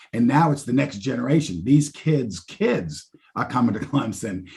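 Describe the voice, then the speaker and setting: A man with an American accent speaks in a dark, mellow, somewhat breathy tone. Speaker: university fundraising executive. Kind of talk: podcast interview.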